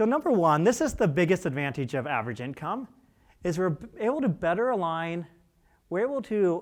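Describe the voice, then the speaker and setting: The recording is very clean, with a silent background. A man speaks at a fairly quick pace with a high pitch and very wide pitch swings. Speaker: CPA presenter at housing conference. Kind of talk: conference presentation. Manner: fast; animated.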